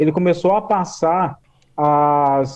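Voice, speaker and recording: A man talks with fairly even intonation. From Brazil, Vale do Paraíba (São Paulo interior). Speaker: writer and podcaster. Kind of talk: casual discussion about racism. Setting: remote call via Discord. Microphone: phone earphone mic, odd audio feedback.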